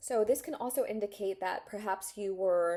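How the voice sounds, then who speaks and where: A woman's medium-pitched voice with a dark, mellow tone. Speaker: tarot reader. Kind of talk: tarot reading to camera. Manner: halting, many fillers.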